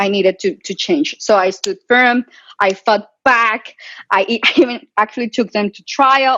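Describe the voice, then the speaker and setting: A woman with a Latin American accent speaks at a fairly slow pace in a bright, sharp tone. The sound is dry and close with no echo, and the background is quiet. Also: big swings in loudness. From Colombia. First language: Spanish. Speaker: physician and tech entrepreneur. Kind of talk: webinar interview. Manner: loud; animated.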